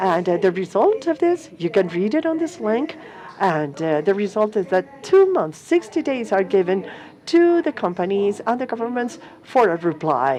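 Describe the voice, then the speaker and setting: Against noticeable background noise, a woman talks at a moderate pace and medium pitch, her pitch swinging very widely. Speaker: conference panelist on corporate accountability. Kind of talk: conference presentation.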